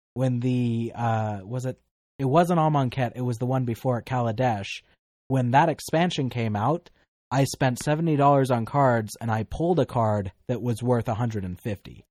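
In a normal speaking voice, a man talks at a moderate pace and medium pitch with ordinary pitch variation, recorded with a dry, close sound with no echo over a quiet background. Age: 20s. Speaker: paranormal podcast host. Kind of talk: casual chat.

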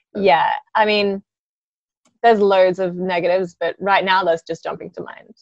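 Speaking at a fairly quick pace in a dry, close sound with no echo, a woman at medium pitch talks with an Australian accent. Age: 20s. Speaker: yacht chef. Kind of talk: casual interview. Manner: energetic.

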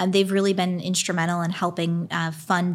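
In an American accent, a woman speaks with a fairly low pitch and fairly even intonation, somewhat breathy. The recording is very clean, with a silent background. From Pennsylvania, US. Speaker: innovation district executive. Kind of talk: casual interview. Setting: studio.

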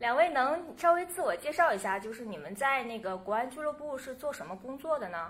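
Speaking at a fairly quick pace with hardly any pauses, a woman uses a high pitch, very wide pitch swings and big swings in loudness. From northeast China, Changchun. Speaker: podcast host. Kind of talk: casual interview chat.

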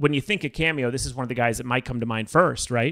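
Captured in a very clean recording with a silent background, a man with an ordinary speaking voice shows ordinary pitch variation. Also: dry, close sound with no echo. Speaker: podcast host. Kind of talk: casual chat.

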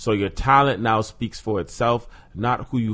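At a moderate pace, a man with a normal speaking voice and fairly low pitch talks with ordinary pitch variation. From Toronto, Canada. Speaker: actor and podcast guest. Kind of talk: casual chat.

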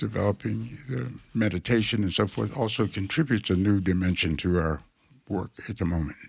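A man speaks with vocal fry at a fairly low pitch. The recording is very clean, with a silent background. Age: 80s+. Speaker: architect and urban planner. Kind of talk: interview.

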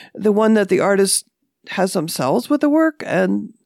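A woman's medium-pitched voice with vocal fry and very wide pitch swings at a moderate pace, dry and close with no echo, in a very clean recording with a silent background. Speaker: artist and podcast host. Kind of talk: casual discussion. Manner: hesitant, filler words.

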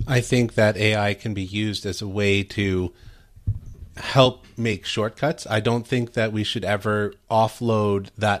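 A man's ordinary speaking voice, fairly low in pitch, with fairly even intonation at a fairly slow pace. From Canada. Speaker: guest commentator. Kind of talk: talk radio discussion. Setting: remote connection.

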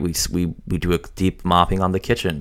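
A man talks in a very deep, low pitch. His voice carries vocal fry. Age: 30s. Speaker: podcast host and software consultant. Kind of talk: solo podcast monologue. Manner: casual, with many fillers.

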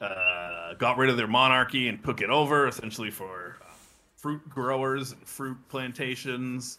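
A man with an unremarkable speaking voice talks at a medium pitch and a moderate pace, his loudness swinging widely. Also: ordinary pitch variation. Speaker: podcast co-host. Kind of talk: casual chat.

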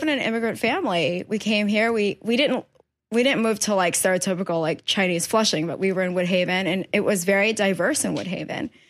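In a very clean recording with a silent background, a woman of medium pitch speaks fairly quickly with a New York accent. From New York, Queens. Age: 30s. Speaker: painter. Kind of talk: casual chat. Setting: artist's studio.

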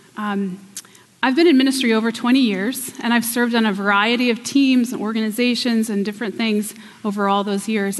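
There is noticeable background noise as a woman with a fairly high voice speaks in an American accent. Her pitch varies in an ordinary way. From Pennsylvania. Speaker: guest preacher. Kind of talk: sermon. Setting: church.

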